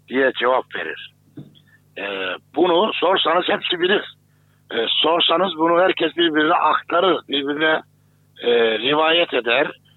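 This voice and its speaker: At a fairly slow pace, a man with a fairly high pitch uses lively intonation in a normal speaking voice. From Turkey, Kayseri. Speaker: Islamic theologian. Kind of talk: interview.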